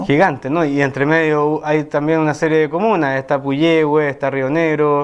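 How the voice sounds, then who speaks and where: A man at fairly high pitch, monotone and flat, very even in loudness, at a moderate pace with hardly any pauses against a quiet background. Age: 30s. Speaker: parliamentary candidate. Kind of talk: interview answer.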